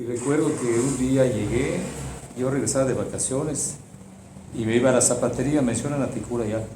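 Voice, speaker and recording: Noticeable background noise and audible room echo fill the recording. A man speaks with fairly even intonation. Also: medium pitch for a man, moderate pace. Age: 60s. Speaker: retired teacher recalling events. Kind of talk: testimony. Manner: halting.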